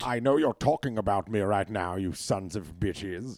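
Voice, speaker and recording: A man puts on a character voice with a British accent, pitched fairly low, in a very clean recording with a silent background. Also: moderate pace. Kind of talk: regal, haughty.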